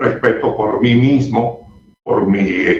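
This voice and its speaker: A man talks at a very slow pace. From Barranquilla, Colombia. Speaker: veteran radio newsreader. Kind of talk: interview. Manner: formal.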